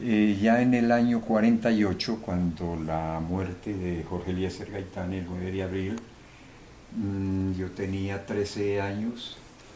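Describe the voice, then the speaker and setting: Audible room echo surrounds a man's dark, mellow tone. He speaks at a very slow pace with a fairly low pitch and fairly even intonation. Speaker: eyewitness to political violence. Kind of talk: interview testimony. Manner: halting, many fillers.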